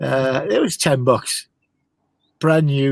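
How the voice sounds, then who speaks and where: This man has an ordinary speaking voice, medium in pitch, with fairly even intonation. He speaks at a fairly slow pace. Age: 60s. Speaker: car hobbyist. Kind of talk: casual chat.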